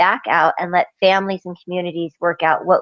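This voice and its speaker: In a normal speaking voice, a woman of medium pitch talks at a fairly quick pace. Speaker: university student in a group discussion. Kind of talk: class group discussion and spoken summary.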